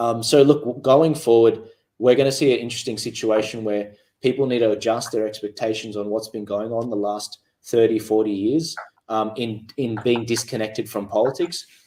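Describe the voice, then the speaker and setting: With an Australian accent, a man speaks at a fairly quick pace in a medium pitch, his intonation fairly even. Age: 20s. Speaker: political activist. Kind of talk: panel discussion. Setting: studio. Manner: halting.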